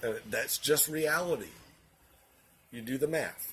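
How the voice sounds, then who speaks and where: A man with a Southern US accent speaks at a fairly slow pace in a somewhat breathy voice at a fairly high pitch. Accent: Southern US (Georgia). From US South, Augusta, Georgia. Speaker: vlogger, financial office worker. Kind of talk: political commentary monologue. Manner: hesitant, many fillers.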